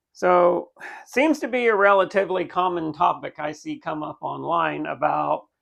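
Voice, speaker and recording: A man is speaking. The background is quiet. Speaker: motorcycle vlogger. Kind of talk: casual vlog talk. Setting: outdoors with the bike. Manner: casual with many fillers. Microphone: new cheap Amazon mic.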